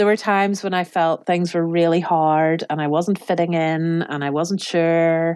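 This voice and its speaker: Speaking with an Irish accent, a woman talks at a moderate pace with hardly any pauses. Her pitch is fairly low and her intonation monotone and flat. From Ireland. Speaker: cookery class teacher and business owner. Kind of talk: interview answer.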